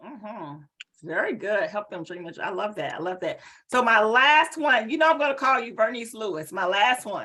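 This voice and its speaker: A woman with a Southern US accent speaks in an animated, bright, sharp tone at a moderate pace. Her fairly high pitch has very wide swings, and her loudness swings widely too. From US South, High Point, North Carolina. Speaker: executive presence strategist. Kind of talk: webinar presentation.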